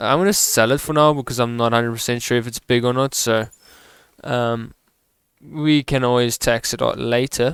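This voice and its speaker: In a very clean recording with a silent background and a dry, close sound with no echo, a man speaks at a moderate pace with a medium pitch and fairly even intonation. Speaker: gaming video creator. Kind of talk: gameplay commentary. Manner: loud; casual, hesitant with fillers.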